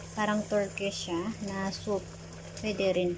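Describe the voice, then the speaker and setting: Soft-spoken and flat in intonation, a woman with a medium pitch talks at a fairly slow pace against noticeable background noise. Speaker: cooking vlogger. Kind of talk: cooking tutorial. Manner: casual, code-switching Tagalog and English.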